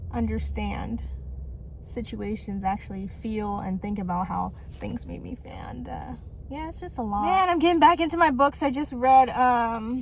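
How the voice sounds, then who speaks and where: Audible room echo surrounds a woman who talks at a moderate pace, her loudness swinging widely. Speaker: vlogger. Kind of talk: casual vlog monologue. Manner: rambling, run-on sentences with stutters.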